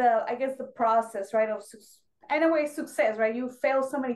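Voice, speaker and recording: A woman talks at a fairly quick pace with a Spanish accent. Her voice is high, and her intonation stays fairly even. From Mexico. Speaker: Navy veteran and fashion designer. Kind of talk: interview.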